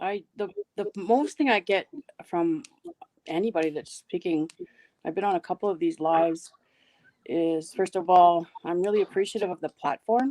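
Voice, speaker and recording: With a Toronto accent, a woman speaks at a moderate pace and medium pitch, her dark, mellow tone showing ordinary pitch variation, broken by long, frequent pauses, in a dry, close sound with no echo. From Canada, Toronto. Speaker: live stream participant. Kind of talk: casual chat.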